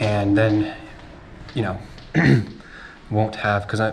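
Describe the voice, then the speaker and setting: There is audible room echo around a man speaking in a fairly low voice. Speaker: food delivery courier and vlogger. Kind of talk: casual vlog monologue. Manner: halting, many fillers. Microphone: muffled audio.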